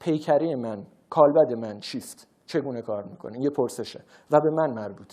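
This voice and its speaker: In a Tehran accent, the speaker talks at a moderate pace with lively intonation and a dark, mellow tone, captured on a very clean recording against a silent background. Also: man. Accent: Tehrani Persian. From Iran, Tehran. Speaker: researcher and public speaker. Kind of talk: lecture.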